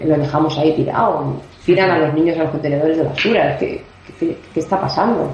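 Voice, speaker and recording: Fairly even intonation is heard against audible room echo and noticeable background noise. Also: woman. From Barcelona, Spain. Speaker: singer-songwriter. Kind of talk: interview. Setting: phone call.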